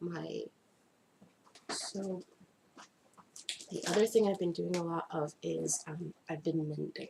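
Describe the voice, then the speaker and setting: Very slow pace from a woman, marked by long, frequent pauses. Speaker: crafts video blogger. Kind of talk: casual vlog talk. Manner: casual, hesitant with fillers.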